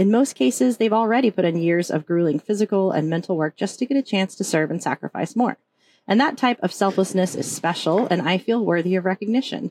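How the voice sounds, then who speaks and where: A woman with an American accent speaks in an unremarkable speaking voice, her intonation lively, the sound dry and close with no echo against a quiet background. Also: medium pitch for a woman, fairly quick pace. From Oklahoma. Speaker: podcast host, psychologist and army veteran. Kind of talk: scripted intro.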